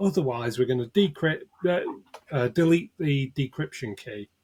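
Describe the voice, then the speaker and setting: Lively intonation in a northern English accent, with a dry, close sound and no echo. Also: man. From northern England. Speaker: cybersecurity expert, ransomware negotiator. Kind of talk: interview.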